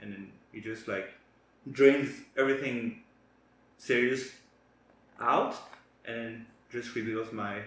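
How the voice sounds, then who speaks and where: In a French accent, a man of medium pitch speaks with fairly even intonation, big swings in loudness and long, frequent pauses, with audible room echo. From France. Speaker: co-host of a wellness channel. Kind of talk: casual chat. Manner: halting.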